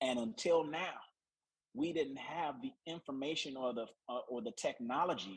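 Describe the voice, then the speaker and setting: Lively intonation and a moderate pace from a man with an ordinary speaking voice. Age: 50s. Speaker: naturopathic doctor. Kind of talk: health presentation.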